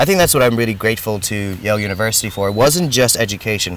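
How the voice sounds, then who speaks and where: A man speaks at a very fast pace in a fairly low pitch. Noticeable background noise fills the recording. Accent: American. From grew up in ten countries, Indian diplomat family. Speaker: entrepreneur and business adviser. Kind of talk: interview.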